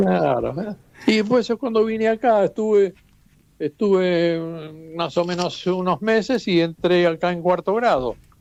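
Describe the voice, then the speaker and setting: The man's voice sits high, moving at a fairly slow pace with ordinary pitch variation. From Istria / Trieste region, Italy, raised in Buenos Aires from age ten. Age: 80s+. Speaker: immigrant interviewee. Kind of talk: interview, personal recollection. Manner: halting with repetitions.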